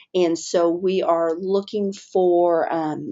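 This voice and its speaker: A woman's fairly low voice with fairly even intonation over noticeable background noise. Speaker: webinar presenter. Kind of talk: webinar presentation. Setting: online webinar.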